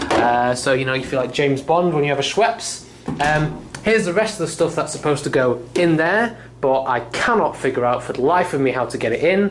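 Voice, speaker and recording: Over noticeable background noise and audible room echo, a man with a British accent talks fairly quickly in a fairly high voice with lively intonation. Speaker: vlogger. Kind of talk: casual video tour. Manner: fast.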